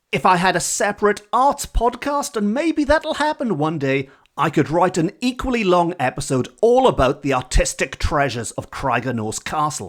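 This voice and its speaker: Speaking at a moderate pace with hardly any pauses, a man uses a high pitch with very wide pitch swings. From Wales. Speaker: podcast host, storyteller. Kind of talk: podcast narration.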